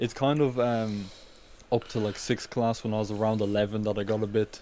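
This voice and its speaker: A man with an Irish accent talks at a fairly quick pace, his fairly low pitch held in a monotone, flat intonation. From Ireland, County Meath. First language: not English. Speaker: rapper and urban explorer. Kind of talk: casual interview chat.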